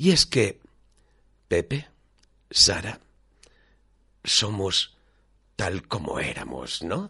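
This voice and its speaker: A man at a very slow pace with long, frequent pauses. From Valencia region, Manises. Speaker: radio host. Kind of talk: scripted narration; radio magazine presenting.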